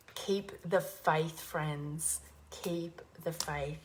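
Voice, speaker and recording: This woman's voice is somewhat breathy and sits at a very deep, low pitch. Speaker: spiritual teacher livestreamer. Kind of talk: inspirational livestream talk. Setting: livestream.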